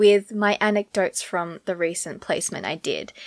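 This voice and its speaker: An animated tone marks this woman speaking at a moderate pace in an Australian accent. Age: 20s. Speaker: podcast host. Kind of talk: casual chat.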